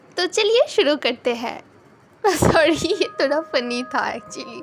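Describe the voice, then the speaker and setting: Ordinary pitch variation in a woman's speech, with noticeable background noise behind it. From West Bengal, India. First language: Bengali (speaking Hindi). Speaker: YouTuber. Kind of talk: storytelling vlog. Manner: casual, hesitant with fillers.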